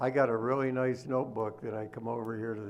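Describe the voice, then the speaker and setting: Monotone and flat, a man's medium-pitched voice moves at a fairly quick pace over noticeable background noise. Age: 80s+. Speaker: local resident addressing board. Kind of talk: public comment at meeting. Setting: township board meeting hall. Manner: halting.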